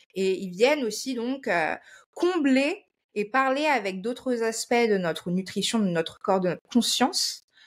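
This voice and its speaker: Her pitch swings very widely as she talks. The background is silent on this very clean recording. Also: fairly high pitch for a woman, fairly slow pace. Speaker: nutrition and wellness presenter. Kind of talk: informal explanatory talk to viewers. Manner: halting, with frequent hesitations.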